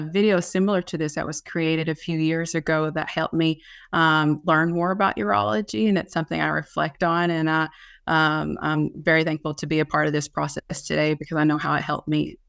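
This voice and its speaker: In a Kentucky accent, the speaker moves at a fairly quick pace in a very clean recording with a silent background. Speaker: nurse practitioner in urology. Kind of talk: panel presentation. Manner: hesitant with frequent fillers.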